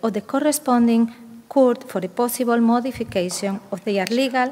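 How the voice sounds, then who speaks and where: Speaking with a Spanish accent, a woman keeps a moderate pace. Her pitch shows ordinary variation. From Spain, Asturias. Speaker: conference panelist. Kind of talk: conference presentation. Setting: stage with audience. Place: hall. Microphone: podium.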